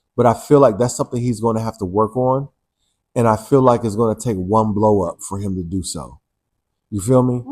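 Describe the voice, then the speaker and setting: Here is a man with a normal speaking voice at medium pitch. He talks at a fairly quick pace with ordinary pitch variation. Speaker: first-time audiobook narrator. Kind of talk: interview answer. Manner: casual, playful.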